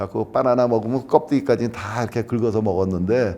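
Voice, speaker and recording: A man speaks in a medium pitch with a dark, mellow tone. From Brazil (São Paulo Korean community), emigrated from Seoul at age 7. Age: 60s. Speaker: Korean immigrant interviewee. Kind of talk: oral history interview. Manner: halting, with frequent self-corrections.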